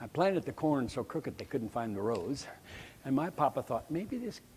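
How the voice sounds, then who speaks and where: A somewhat breathy man with an American accent, lively intonation and a moderate pace. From US Midwest, rural Nebraska. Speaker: choral conductor and music educator. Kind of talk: conference lecture. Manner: animated.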